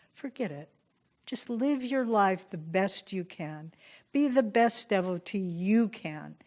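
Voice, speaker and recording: The speaker goes very slowly, with lively intonation and big swings in loudness. The recording is very clean, with a silent background. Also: woman, medium pitch for a woman. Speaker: spiritual teacher. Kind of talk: spiritual retreat talk.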